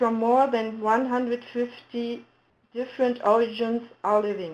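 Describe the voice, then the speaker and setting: A woman with a German accent speaks at a high pitch. Her pace is fairly slow. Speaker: municipal integration official. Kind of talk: webinar presentation. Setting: webinar. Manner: halting.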